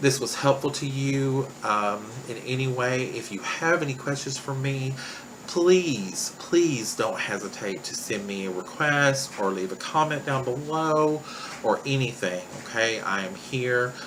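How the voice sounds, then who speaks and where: A man with a Southern US accent speaks at a fairly slow pace, medium in pitch with ordinary pitch variation. Both audible room echo and noticeable background noise are present. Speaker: vlogger documenting weight-loss surgery. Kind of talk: personal vlog. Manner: hesitant, many fillers.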